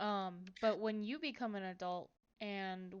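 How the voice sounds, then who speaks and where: With an American accent, a woman uses an ordinary speaking voice at a medium pitch and fairly even intonation. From Colorado, US. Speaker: podcast host. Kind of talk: casual chat.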